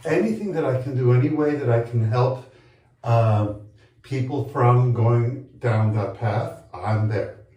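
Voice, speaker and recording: Audible room echo surrounds a man speaking at a fairly slow pace and a medium pitch. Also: ordinary pitch variation. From Colombia. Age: 60s. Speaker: HIV advocate and long-term survivor. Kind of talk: interview. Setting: bathtub on location in Chicago.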